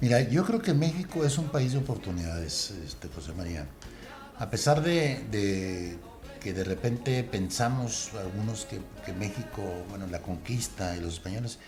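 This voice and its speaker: A man with a strong northern Mexican accent, fairly slow and with very wide pitch swings, over music in the background and audible room echo. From northern Mexico, Monterrey. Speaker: radio veteran. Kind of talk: interview.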